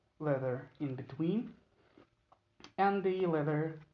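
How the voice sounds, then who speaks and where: This man speaks with a non-native accent and ordinary pitch variation. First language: not English. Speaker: knife maker. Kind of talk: tutorial. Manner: halting, many fillers.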